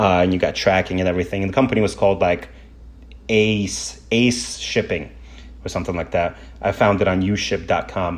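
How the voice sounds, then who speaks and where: His voice is very deep and low, and a man delivers it with lively intonation. He keeps a fairly quick pace. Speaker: motorcycle vlogger and podcast host. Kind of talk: casual storytelling podcast. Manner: fast.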